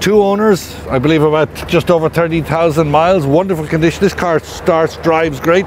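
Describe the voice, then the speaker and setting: Against noticeable background noise, the speech runs at a fairly quick pace with fairly even intonation and very even loudness. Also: man, fairly high pitch for a man. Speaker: auctioneer presenting sale lots. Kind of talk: auction preview presentation.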